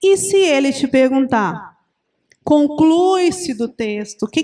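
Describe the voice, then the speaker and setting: The speaker uses lively intonation at a fairly slow pace. The recording is very clean, with a silent background. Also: woman. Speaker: teacher. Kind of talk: lecture.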